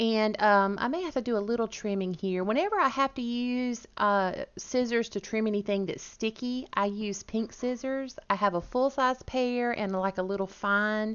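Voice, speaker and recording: A woman with a Southern US accent speaks in a fairly high voice with ordinary pitch variation and hardly any pauses. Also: moderate pace. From US South, Georgia. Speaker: crafting YouTuber. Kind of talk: voiceover tutorial narration.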